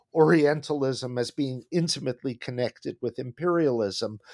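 In an American accent, an unremarkable speaking voice moves at a moderate pace with ordinary pitch variation, captured in a very clean recording with a silent background and a dry, close sound with no echo. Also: man. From United States. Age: 60s. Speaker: history professor. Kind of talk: interview.

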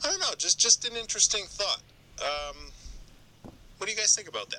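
Long, frequent pauses break up moderately paced speech in a Boston accent. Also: man. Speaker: listener calling in. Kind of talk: voicemail message.

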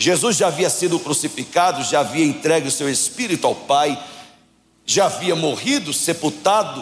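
A man's high-pitched voice at very even loudness. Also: ordinary pitch variation, moderate pace. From Brazil, Paraíba (João Pessoa). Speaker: guest preacher. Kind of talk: sermon. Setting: church service. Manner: animated.

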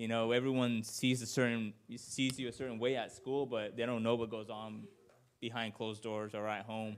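With an American accent, a man speaks at a moderate pace and medium pitch. His intonation is monotone and flat, and room echo is audible. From Washington State, Yakima Valley. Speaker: preacher. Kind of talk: sermon. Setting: church. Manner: halting.

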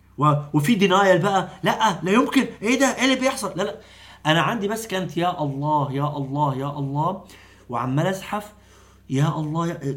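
In a room with audible echo, a man speaks at a moderate pace and a high pitch, with lively intonation and an animated tone. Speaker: doctor and Islamic preacher. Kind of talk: long-form interview.

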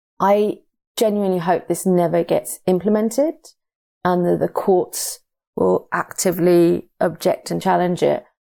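A woman with a British accent speaks at a fairly slow pace with very even loudness, on a very clean recording with a silent background. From UK. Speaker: migrant rights campaigner. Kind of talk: interview. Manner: halting.

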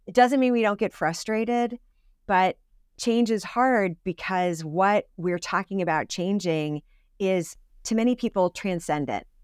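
A woman with a New England accent speaks at a fairly slow pace and medium pitch, with ordinary pitch variation, in a very clean, dry, close recording with no echo and a silent background. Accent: New England American. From US New England, Connecticut. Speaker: seminary dean and ordained minister. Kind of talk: interview conversation.

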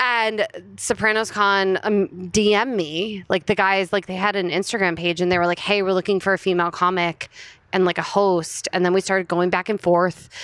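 A woman with an American accent speaks at a moderate pace in a medium pitch, her intonation flat and monotone, her loudness very even, and the sound dry and close with no echo. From New Jersey, US (Princeton Junction). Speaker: stand-up comedian. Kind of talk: casual chat.

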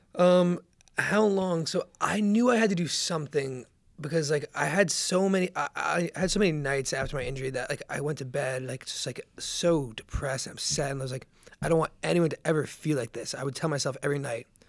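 Here is a man with an unremarkable speaking voice and an American accent. His pitch is fairly high with ordinary variation, and his pace is fairly quick. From New Jersey. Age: 20s. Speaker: author and brain injury survivor. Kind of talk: casual interview, personal story.

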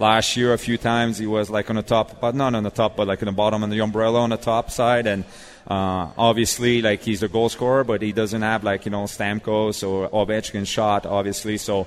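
A man with a Quebec accent speaks fairly quickly in a fairly low, monotone voice with flat intonation. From Quebec, Montreal. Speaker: former ice hockey player and youth coach. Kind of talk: casual interview. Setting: live show at a restaurant with audience. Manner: many fillers.

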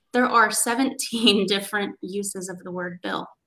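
Vocal fry in a woman's bright, sharp voice with an American accent. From US West Coast. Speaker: social media marketer in promotional products. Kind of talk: panel discussion. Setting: video call.

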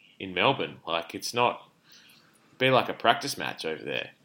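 An Australian-accented man speaks with a bright, sharp tone, a fairly low pitch and lively intonation. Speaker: podcast co-host, hospital doctor. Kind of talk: casual chat. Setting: remote call between cities. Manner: loud.

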